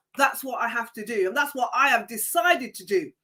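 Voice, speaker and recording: In a raised, projected voice, a woman speaks at a moderate pace with a bright, sharp and animated tone. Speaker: livestream wellbeing host. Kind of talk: live stream talk to viewers. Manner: animated, emphatic.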